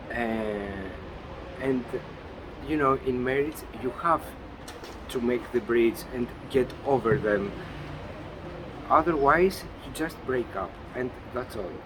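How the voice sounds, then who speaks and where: With a Greek accent, a man speaks at a medium pitch and a very slow pace, with ordinary pitch variation. Long, frequent pauses break up his speech over noticeable background noise. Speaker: interviewee, husband and father. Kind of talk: interview. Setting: outdoors. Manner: halting.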